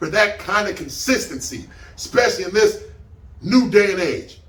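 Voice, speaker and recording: There is audible room echo and noticeable background noise. Over it, a man speaks in an animated tone at a high pitch. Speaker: battle rap reviewer. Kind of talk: casual review commentary.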